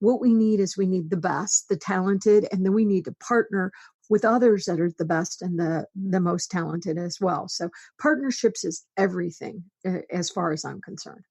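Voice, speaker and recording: A woman speaks at a medium pitch and moderate pace, her voice somewhat breathy with ordinary pitch variation. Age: 60s. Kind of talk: interview.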